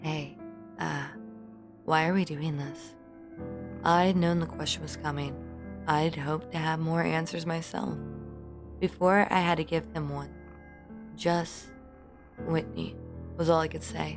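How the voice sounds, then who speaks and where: A woman's voice with long, frequent pauses over background music. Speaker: audiobook narrator. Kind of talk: horror audiobook reading. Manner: emotional, acted dialogue.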